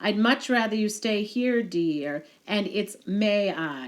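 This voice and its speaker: A woman speaks in a put-on character voice. Her pitch is medium and her pace fairly slow. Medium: read story. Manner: calm, firm.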